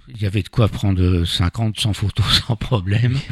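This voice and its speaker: A man talks at a fairly low pitch, somewhat breathy, with ordinary pitch variation. The recording is very clean, with a silent background and a dry, close sound with no echo. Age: 70s. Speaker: amateur photographer. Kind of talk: interview. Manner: halting.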